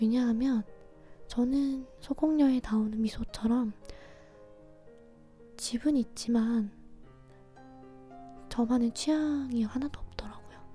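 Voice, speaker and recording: Over music in the background, the speaker talks in a calm tone at a very slow pace, with fairly even intonation and long, frequent pauses. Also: woman, high pitch for a woman. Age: 20s. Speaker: ASMR creator and radio host. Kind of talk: late-night personal diary-style radio talk. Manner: soft, calm, intimate, slow.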